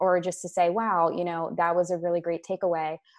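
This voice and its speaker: Speaking at a medium pitch, a woman talks with a Mid-Atlantic accent. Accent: American, Mid-Atlantic. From US, Maryland. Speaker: sales and marketing coach. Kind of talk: casual interview.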